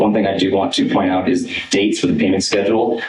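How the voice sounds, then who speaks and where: A man talks at a fairly quick pace in a fairly low pitch. His intonation stays fairly even, and the room echo is audible. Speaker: music teacher presenting a travel request. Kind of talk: presentation to school board. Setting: school board meeting. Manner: hesitant, many fillers.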